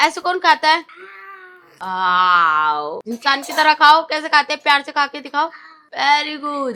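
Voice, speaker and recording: A woman shouting in a raised, projected voice, high in pitch with a bright, sharp tone, very wide pitch swings and big swings in loudness. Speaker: family vlogger. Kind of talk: casual vlog talk with children. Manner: loud, sounds like shouting.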